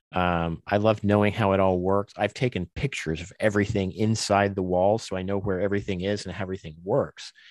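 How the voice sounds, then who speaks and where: A man with a normal speaking voice talks at a fairly quick pace, fairly low in pitch with fairly even intonation and hardly any pauses. The sound is dry and close with no echo against a quiet background. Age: 50s. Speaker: podcaster and tabletop gamer. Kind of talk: casual chat.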